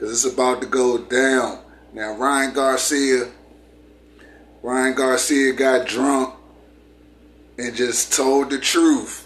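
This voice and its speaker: With noticeable noise behind him, a man speaks in a medium pitch at a very slow pace, his intonation flat and monotone. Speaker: commentary YouTuber. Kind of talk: casual video commentary. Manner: repetitive, emphatic.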